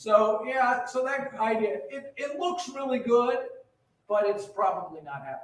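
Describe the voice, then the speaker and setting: In a room with audible echo, a man speaks fairly slowly at an extremely high pitch, his pitch swinging very widely and his loudness rising and falling in big swings. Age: 60s. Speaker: retirement community administrator. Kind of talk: town hall meeting presentation. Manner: casual, repetitive with false starts.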